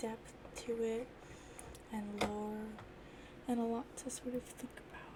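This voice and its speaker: The speaker is soft-spoken and goes at a fairly slow pace against noticeable background noise. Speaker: ASMR creator. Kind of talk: ASMR soft-spoken talk to camera.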